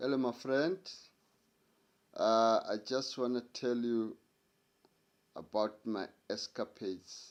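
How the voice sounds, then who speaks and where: A man with a South African accent, medium-pitched, at a very slow pace. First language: Sotho-Tswana language. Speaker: storyteller. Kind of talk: casual storytelling.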